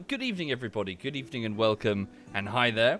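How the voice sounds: Over clear music in the background, a croaky, put-on character voice rattles along at a very fast pace. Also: man, medium pitch for a man.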